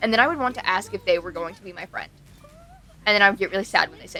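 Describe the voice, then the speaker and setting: A woman speaks at a medium pitch with ordinary pitch variation amid noticeable background noise. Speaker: streamer. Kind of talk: casual chat. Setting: live stream. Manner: loud; talkative, fast.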